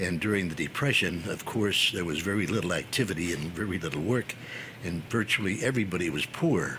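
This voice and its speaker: A man with an American accent and a very deep, low voice talks fairly quickly with ordinary pitch variation over noticeable background noise. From northeastern Pennsylvania coal region. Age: 90s. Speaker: war veteran. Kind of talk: interview storytelling.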